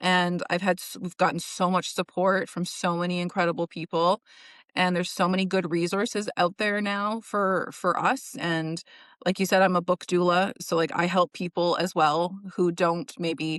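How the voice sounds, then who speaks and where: In a Western Canadian accent, a woman speaks at a moderate pace and medium pitch, with a dry, close sound and no echo. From British Columbia, Canada. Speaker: indie author and book coach. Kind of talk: casual interview chat. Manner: animated.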